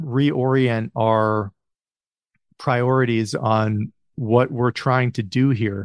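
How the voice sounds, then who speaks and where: In an American accent, a man with an unremarkable speaking voice and medium pitch talks against a quiet background in a dry, close sound with no echo. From US Midwest. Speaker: podcast host. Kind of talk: casual interview.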